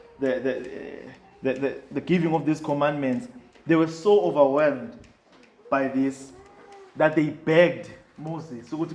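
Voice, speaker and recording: A man talks at a moderate pace in a fairly high pitch with ordinary pitch variation. Noticeable background noise runs underneath. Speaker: preacher. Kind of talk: sermon delivered to a congregation.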